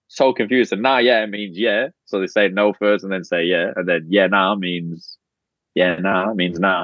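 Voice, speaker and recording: A man with an Australian accent talks in a fairly low pitch. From outside Australia, moved to Australia as a kid. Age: 30s. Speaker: podcast guest, reality show contestant. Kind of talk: casual chat. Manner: animated.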